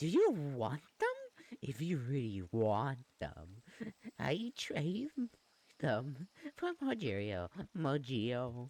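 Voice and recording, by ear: A put-on character voice at a low-to-middle pitch, very slow, with long, frequent pauses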